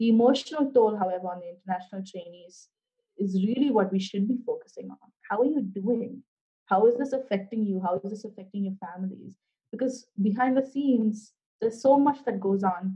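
A woman talks at a fairly quick pace in a somewhat breathy, fairly high voice, with ordinary pitch variation and big swings in loudness. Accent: Indian. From India. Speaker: career development director. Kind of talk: interview.

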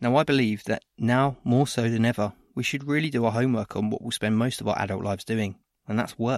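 In a very clean recording with a silent background and a dry, close sound with no echo, a man with a normal speaking voice talks at a fairly quick pace, with medium pitch and fairly even intonation. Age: 30s. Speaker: podcast host and training provider. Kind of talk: scripted podcast introduction.

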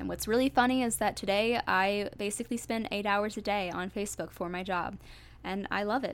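On a very clean recording with a silent background, a woman with an American accent speaks at a fairly quick pace. She has an unremarkable speaking voice at a medium pitch with ordinary pitch variation. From US Midwest, suburbs of St. Louis, Missouri. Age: 20s. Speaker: podcast host. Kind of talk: casual solo podcast monologue. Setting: home recording with a USB microphone.

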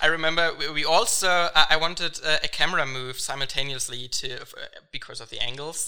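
Noticeable background noise accompanies a man whose pitch is fairly high and varies in an ordinary way. His loudness swings widely, and his pace is moderate. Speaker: film director. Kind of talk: interview. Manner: hesitant, many fillers.

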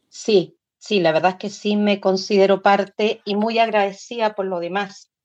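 Fairly slow, fairly even intonation from a woman with an unremarkable speaking voice and medium pitch. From Chile. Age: 60s. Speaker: folk singer and dancer. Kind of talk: interview.

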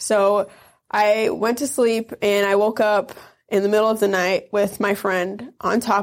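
A woman with an Upper Midwest accent, a fairly high pitch, fairly even intonation and a very slow pace. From northern Wisconsin near Michigan's Upper Peninsula. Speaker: Navy veteran. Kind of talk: interview testimony.

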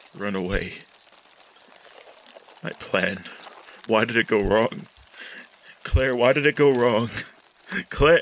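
A man's put-on character voice at a medium pitch, fairly slow, with long, frequent pauses. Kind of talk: horror narration. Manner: brooding, fevered.

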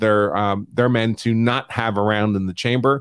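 A man with an American accent talks at a moderate pace, his pitch medium. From New York. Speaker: attorney and show host. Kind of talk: legal analysis live stream. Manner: talks over people.

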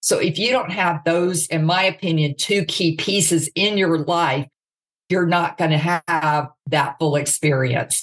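A woman with an unremarkable speaking voice, fairly low in pitch with ordinary pitch variation, in an American accent at a fairly slow pace. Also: very even loudness. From US South, Mississippi. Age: 50s. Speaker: author and speaker. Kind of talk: interview.

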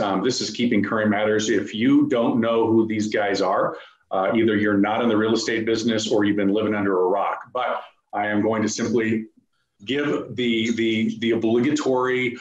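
A man with an unremarkable speaking voice and a medium pitch moves along at a fairly quick pace. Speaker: event host. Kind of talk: event introduction. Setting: video call.

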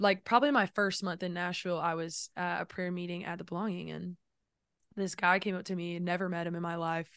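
A woman with a fairly low voice speaks over a quiet background. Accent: Southern US. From South Carolina. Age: 20s. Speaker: songwriter and musician. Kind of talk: casual chat.

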